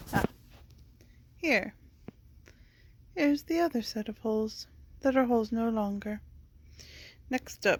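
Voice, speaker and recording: Soft-spoken and mumbling, the voice moves at a moderate pace with ordinary pitch variation. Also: woman. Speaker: crafter doing mending. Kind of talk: casual talk while crafting. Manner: mumbling, soft-spoken.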